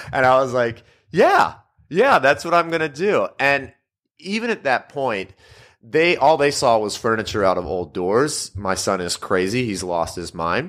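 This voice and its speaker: On a very clean recording with a silent background, a man speaks at a medium pitch. His pace is fairly slow, with very wide pitch swings. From Louisiana. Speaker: furniture designer and business owner. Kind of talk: interview.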